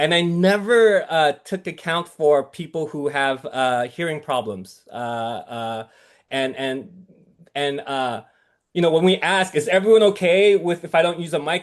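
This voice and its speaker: With lively intonation and a fairly slow pace, a man talks at a fairly high pitch over a quiet background. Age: 40s. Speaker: priest. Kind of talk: casual talk. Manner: halting, many fillers.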